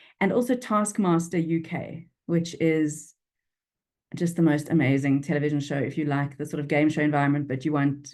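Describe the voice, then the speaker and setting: In a Durban accent, a woman speaks with a very deep, low pitch. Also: quiet background. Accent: South African, flat Durban vowels. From South Africa, Durban. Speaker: business writing expert and speaker. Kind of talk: interview. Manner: animated.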